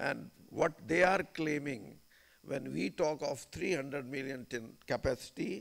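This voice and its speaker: A man drawls very slowly with vocal fry. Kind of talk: formal speech. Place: hall. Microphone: podium.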